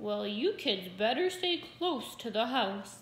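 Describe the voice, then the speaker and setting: In a put-on character voice, a woman speaks at a fairly high pitch with very wide pitch swings. Her pace is fairly slow. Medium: read story. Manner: calm, dry, easygoing.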